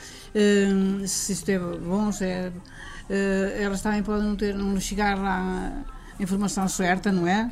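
A woman speaks at a medium pitch, with noticeable background noise and audible echo in the room. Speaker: senior centre member. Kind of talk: group interview. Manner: halting.

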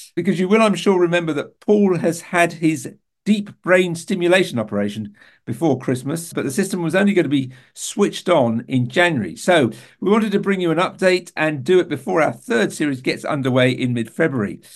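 A man with a British accent talks at a fairly quick pace, his high pitch moving in lively intonation. The background is quiet. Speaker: podcast presenter living with Parkinson's. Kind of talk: casual chat. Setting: video call.

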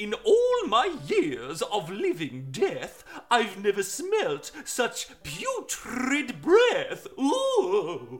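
A man puts on a character voice at an extremely high pitch and speaks at a very slow pace. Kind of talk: comic overacting for children. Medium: read story. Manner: theatrical, horrified.

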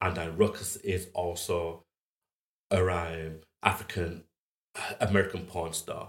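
Somewhat breathy, the voice speaks in a Yorkshire accent at a fairly slow pace with monotone, flat intonation and long, frequent pauses. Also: man. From northern England, Huddersfield. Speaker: fine art photographer. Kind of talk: interview conversation.

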